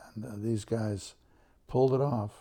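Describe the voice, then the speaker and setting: With an American accent, this speaker talks at a moderate pace in a dark, mellow, somewhat breathy tone and fairly even intonation. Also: man. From Southern California. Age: 80s+. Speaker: photographer. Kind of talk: interview.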